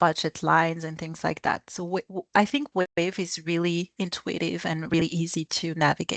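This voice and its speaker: Against a quiet background, a woman with a medium-pitched voice speaks at a fairly slow pace, the sound dry and close with no echo. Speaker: business expert guest speaker. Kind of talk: webinar presentation. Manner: halting, many fillers and restarts.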